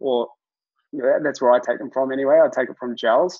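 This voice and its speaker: A man with a New Zealand accent and a fairly high pitch speaks over a quiet background. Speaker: fitness coach, former triathlete; fitness coach. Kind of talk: webinar presentation. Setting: video call. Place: home room. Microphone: webcam.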